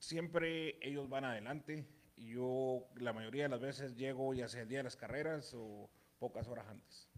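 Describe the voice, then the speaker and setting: The clip features a normal speaking voice. Its pace is fairly slow. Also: man, medium pitch for a man. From Durango, Mexico. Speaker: horse owner.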